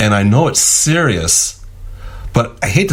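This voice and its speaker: The voice moves through very wide pitch swings over noticeable background noise. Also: man. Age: 60s. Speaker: radio host. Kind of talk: radio interview.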